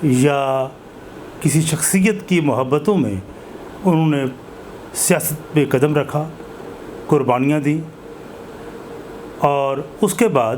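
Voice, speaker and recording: A man talks at a fairly high pitch with ordinary pitch variation. Noticeable background noise can be heard. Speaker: interviewer, channel host. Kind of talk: interview introduction.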